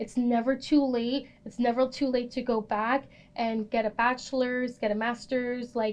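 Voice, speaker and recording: Delivery comes at a moderate pace. The accent is American. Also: woman, high pitch for a woman. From New Jersey. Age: 20s. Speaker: student podcast host. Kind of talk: casual chat. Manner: animated.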